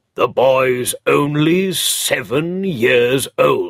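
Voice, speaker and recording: A man puts on a gruff character voice. He speaks at a very slow pace. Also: fairly high pitch for a man. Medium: read story. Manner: gruff, curt.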